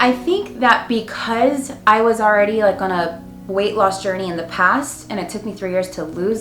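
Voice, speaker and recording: A woman talks at a moderate pace with ordinary pitch variation. Audible room echo and noticeable background noise fill the recording. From Arizona, US (Mexican-American family). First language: Spanish. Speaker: weight loss vlogger. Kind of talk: Q&A vlog. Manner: casual, filler-heavy.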